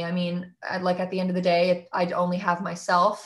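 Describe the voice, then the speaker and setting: In a plain, everyday voice, a woman speaks at medium pitch and a moderate pace on a very clean recording with a silent background. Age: 20s. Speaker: singer-songwriter. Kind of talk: casual interview chat.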